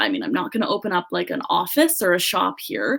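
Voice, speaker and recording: A woman talks very fast with a Canadian accent at a medium pitch. Noticeable background noise sits behind her. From Canada, British Columbia. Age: 20s. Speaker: social media business owner. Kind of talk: podcast interview. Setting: podcast interview.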